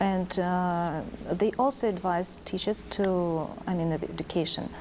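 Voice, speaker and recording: A woman speaks at a fairly slow pace. Her medium-pitched voice has a dark, mellow tone. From Kazakhstan. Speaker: teacher. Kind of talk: interview. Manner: halting.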